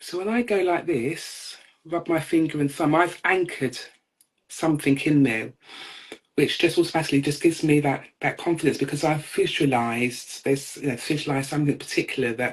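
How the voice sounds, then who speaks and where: A man's fairly high-pitched, normal speaking voice at a fairly quick pace, with ordinary pitch variation. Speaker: co-host, NLP and hypnotherapy practitioner. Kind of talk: casual chat.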